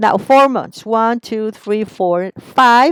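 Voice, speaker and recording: A woman with a Spanish accent speaks at a fairly slow pace in a fairly high pitch, with ordinary pitch variation and a dry, close sound with no echo. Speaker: teacher. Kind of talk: tutorial. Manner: step-by-step explaining.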